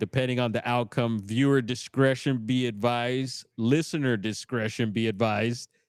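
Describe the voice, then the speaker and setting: In a normal speaking voice, a man talks at a moderate pace and medium pitch with ordinary pitch variation. The recording is very clean with a silent background. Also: dry, close sound with no echo. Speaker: bigfoot podcast host. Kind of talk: live stream commentary. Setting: in a smoke shop. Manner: casual, slangy.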